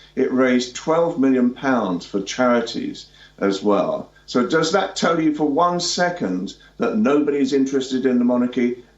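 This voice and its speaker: Lively intonation from a man, very even loudness, noticeable background noise. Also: medium pitch for a man, moderate pace. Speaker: royal commentator. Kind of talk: live news interview. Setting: remote link into news studio. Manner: halting, many fillers and restarts.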